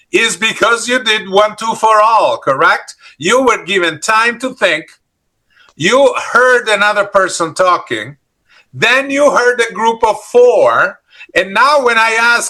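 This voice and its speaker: A bright, sharp, raised and projected voice in an Italian accent, delivered at a very slow pace. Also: man. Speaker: leadership trainer. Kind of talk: interactive workshop. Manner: animated.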